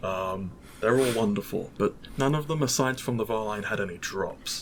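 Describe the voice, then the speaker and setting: A man speaks with a British accent at a moderate pace. His medium pitch shows ordinary variation. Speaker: mod developer, podcast guest. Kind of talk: casual podcast interview. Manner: hesitant, many fillers.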